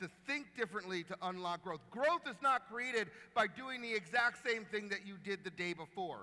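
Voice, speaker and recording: With an American accent, a man speaks in a raised, projected voice with a high pitch, an animated tone and ordinary pitch variation. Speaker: marketing executive and keynote speaker. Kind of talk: keynote talk. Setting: stage with audience and live translation. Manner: fast.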